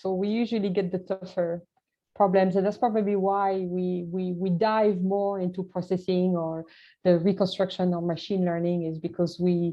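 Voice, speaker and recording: A woman speaks at a medium pitch and a moderate pace. Her accent is French. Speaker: scientist. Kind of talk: Q&A after presentation. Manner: halting.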